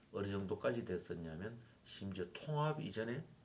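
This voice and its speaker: A somewhat breathy man at a fairly slow pace, with very wide pitch swings. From South Korea, Yeongju (North Gyeongsang). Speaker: former university president. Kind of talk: interview.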